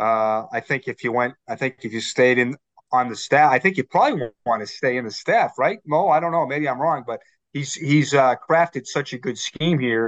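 With a Boston accent, a man speaks at a moderate pace in a fairly high pitch with ordinary pitch variation, the sound dry and close with no echo. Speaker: team writer. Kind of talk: sports podcast interview.

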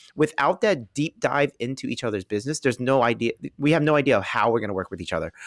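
Very fast speech with lively intonation comes through a very clean recording with a silent background and a dry, close sound with no echo. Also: man, medium pitch for a man. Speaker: real estate investor. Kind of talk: interview conversation.

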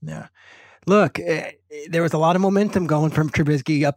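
A plain, everyday voice from a man at a fairly high pitch. He speaks at a moderate pace with ordinary pitch variation, in a dry, close sound with no echo. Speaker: NFL analyst. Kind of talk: casual sports discussion.

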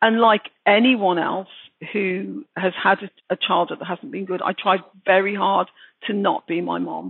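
A woman with a Birmingham accent speaks at a moderate pace, her medium pitch showing ordinary variation. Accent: Brummie. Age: 60s. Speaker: author. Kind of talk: interview.

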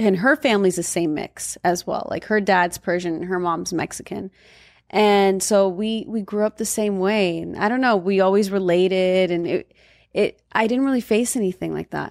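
A woman with a Californian accent speaks at a medium pitch with ordinary pitch variation. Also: very clean recording, silent background. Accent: Californian American. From Southern California (Valencia). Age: 30s. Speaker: model and influencer, partner of a singer. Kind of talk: casual interview chat.

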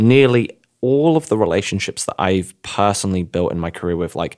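A man with an English accent talks at a fairly quick pace, his pitch swinging very widely. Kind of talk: podcast discussion, explanatory.

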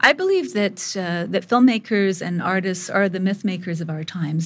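A somewhat breathy woman's voice at a medium pitch and moderate pace, with ordinary pitch variation on a very clean recording with a silent background. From India. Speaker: photographer and filmmaker. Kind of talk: interview.

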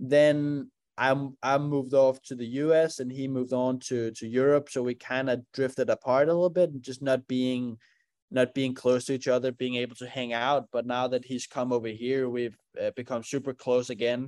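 In a Danish accent, a man speaks at a moderate pace and medium pitch with monotone, flat intonation. The recording is very clean, with a silent background and a dry, close sound with no echo. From Denmark. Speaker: racing driver. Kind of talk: interview.

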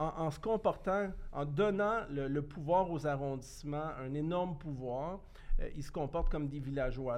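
Speaking at a fairly slow pace, a man has an ordinary speaking voice. His pitch is fairly high, with ordinary variation. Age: 50s. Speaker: former municipal politician. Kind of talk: casual chat.

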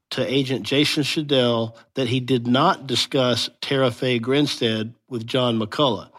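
A man speaks at a fairly slow pace with a medium pitch and fairly even intonation, in a plain, everyday voice. The recording is very clean, with a silent background. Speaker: legal analyst. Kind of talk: interview.

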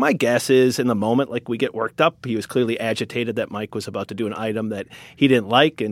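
With an American accent, a man talks at a very fast pace and a medium pitch with hardly any pauses, in a very clean recording with a silent background and a dry, close sound with no echo. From Wisconsin. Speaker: news editor and media founder. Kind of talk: interview.

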